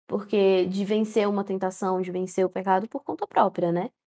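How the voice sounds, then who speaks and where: This woman's voice sits at a medium pitch, recorded with a dry, close sound and no echo. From Central-West Brazil. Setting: online voice call.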